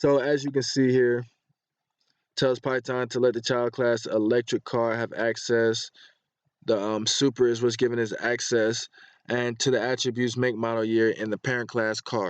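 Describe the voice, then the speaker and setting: A man speaks at a medium pitch in a flat monotone. The sound is dry and close, with no echo. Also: moderate pace. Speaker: coding tutorial youtuber. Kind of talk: tutorial. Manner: halting, many fillers.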